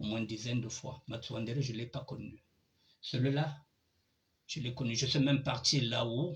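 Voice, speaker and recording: A man with a medium pitch talks at a moderate pace, using fairly even intonation and long, frequent pauses. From Republic of the Congo, Pool region village then Pointe-Noire. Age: 60s. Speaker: online show host. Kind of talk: personal testimony.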